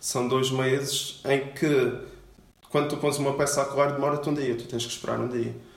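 Fairly high-pitched male speech in a monotone, flat intonation at a moderate pace, with noticeable background noise and audible room echo. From Portugal, Madeira. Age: 20s. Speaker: luthier. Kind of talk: interview. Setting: workshop. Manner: halting.

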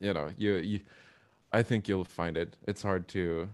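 Fairly even intonation in a Swedish accent. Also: man. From Sweden. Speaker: drummer and graphic designer. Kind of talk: casual interview. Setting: video call.

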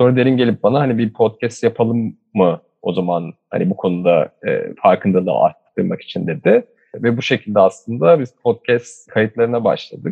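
A man with an ordinary speaking voice and medium pitch talks at a moderate pace, his lively intonation carrying on with hardly any pauses. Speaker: climate podcaster. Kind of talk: interview.

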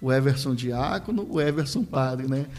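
A man with a fairly high voice and ordinary pitch variation talks while music plays in the background. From Rio de Janeiro, Brazil. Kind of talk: podcast interview, personal testimony.

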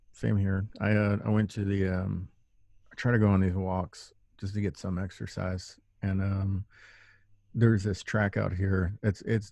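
With an American accent and fairly even intonation, a man speaks at a fairly low pitch over a quiet background. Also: long, frequent pauses. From Texas. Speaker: podcast host. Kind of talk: casual chat. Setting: remote call.

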